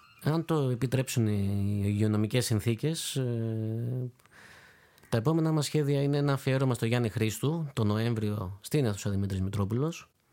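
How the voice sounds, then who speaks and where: At a moderate pace, a man speaks at a medium pitch with a dark, mellow tone, ordinary pitch variation and very even loudness. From Greece, Corfu. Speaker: clarinetist. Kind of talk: interview.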